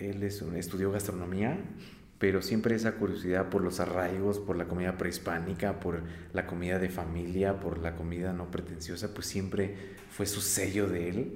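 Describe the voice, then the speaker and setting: Audible room echo surrounds the voice. It moves at a moderate pace with a monotone, flat intonation. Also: man, very deep, low pitch for a man. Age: 30s. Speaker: coffee roaster and business owner. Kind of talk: interview. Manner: halting, many fillers and repetitions.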